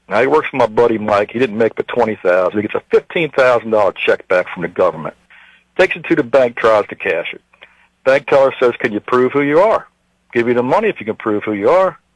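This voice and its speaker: Very fast, lively speech from a man at medium pitch, dry and close with no echo. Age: 50s. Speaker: caller, self-employed construction contractor. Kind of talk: radio call-in rant. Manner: animated.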